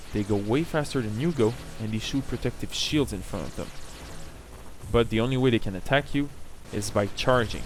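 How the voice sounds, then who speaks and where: Speech comes at a fairly quick pace with long, frequent pauses and ordinary pitch variation. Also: man, medium pitch for a man. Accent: French Canadian. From French Canada. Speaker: gamer. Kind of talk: video game tutorial narration.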